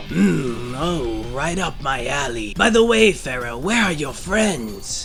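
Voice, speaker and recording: A man puts on a cartoonish character voice at a medium pitch and a fairly slow pace. Loud background noise fills the recording. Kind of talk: anime fan dub. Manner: menacing, taunting.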